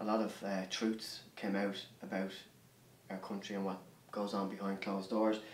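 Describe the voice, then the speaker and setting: A man with an Irish accent and fairly low pitch talks at a moderate pace, in a monotone, flat intonation with long, frequent pauses. Noticeable background noise and audible room echo fill the recording. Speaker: artist. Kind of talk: interview. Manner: halting.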